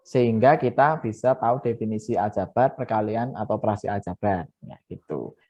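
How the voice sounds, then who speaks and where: Fairly quick male speech at medium pitch, with ordinary pitch variation and big swings in loudness. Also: hardly any pauses. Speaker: math teacher. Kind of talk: online lesson. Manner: fast.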